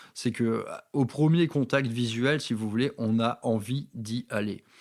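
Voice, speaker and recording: On a very clean recording with a silent background, a man speaks at a very slow pace and a medium pitch, with ordinary pitch variation. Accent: slight northern French. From northern France, Valenciennes. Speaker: wargaming hobby youtuber. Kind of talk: casual monologue, personal anecdotes. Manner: hesitant, many fillers and repetitions.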